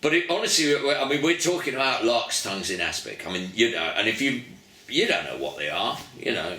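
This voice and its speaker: A man's moderate-paced speech comes through audible room echo and noticeable background noise. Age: 70s. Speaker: musician. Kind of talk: interview. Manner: animated storytelling.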